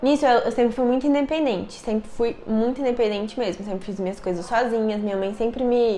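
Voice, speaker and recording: A woman speaks at a fairly quick pace in a fairly high pitch with a dark, mellow tone. Her pitch variation is ordinary. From Brazil, Brasília. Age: 20s. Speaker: youtuber. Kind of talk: personal storytelling vlog. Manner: casual, conversational.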